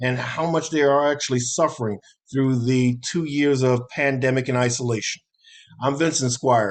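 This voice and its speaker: At a moderate pace, a man talks in an ordinary speaking voice at medium pitch, with fairly even intonation and very even loudness. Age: 60s. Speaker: talk show host. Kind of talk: show outro.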